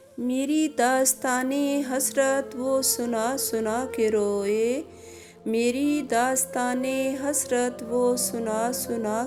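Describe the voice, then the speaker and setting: Music plays behind a woman speaking in a sad tone. Her pitch varies in an ordinary way. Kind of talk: poetry reading. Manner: sad, emotional.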